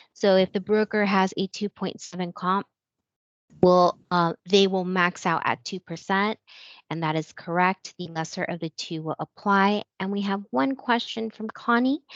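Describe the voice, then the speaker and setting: A woman with an unremarkable speaking voice talks at a moderate pace, medium in pitch with ordinary pitch variation. The sound is dry and close with no echo, and the background is quiet. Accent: American. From California. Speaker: lender training moderator. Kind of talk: webinar Q&A.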